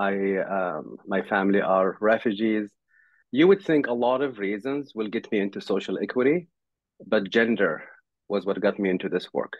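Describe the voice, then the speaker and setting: A man with a fairly low pitch speaks at a moderate pace, showing ordinary pitch variation. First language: not English. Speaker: tech company CEO. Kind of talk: panel discussion.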